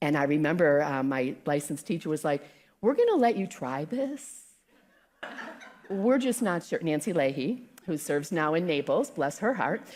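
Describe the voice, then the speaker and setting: Loud and animated, a woman with an American accent speaks at a moderate pace in a very deep, low pitch, making very wide pitch swings. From South Carolina. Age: 60s. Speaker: guest speaker. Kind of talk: sermon. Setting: church with live audience.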